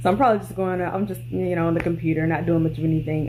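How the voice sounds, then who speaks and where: A woman's voice with audible room echo. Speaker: vlogger. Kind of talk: vlog diary update. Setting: in bed at home. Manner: low energy, mellow.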